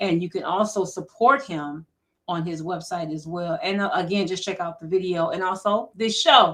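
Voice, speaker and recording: A plain, everyday voice speaks at a moderate pace. Its pitch varies in an ordinary way. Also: woman, medium pitch for a woman. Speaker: radio host. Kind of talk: radio show sign-off.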